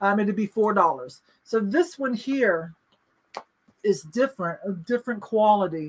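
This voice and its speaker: The voice is somewhat breathy over light background noise. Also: woman. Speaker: live-sale host and thrift reseller. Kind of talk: live online auction, auctioneer patter. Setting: live stream, online. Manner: brisk, upbeat; chatty and laughing. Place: home room. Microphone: webcam.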